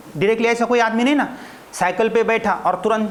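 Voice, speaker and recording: Someone with a Marathi accent speaks at a moderate pace over noticeable background noise. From Maharashtra, India. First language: Marathi (speaking Hindi). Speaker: spoken English teacher. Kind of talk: classroom lecture. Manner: animated.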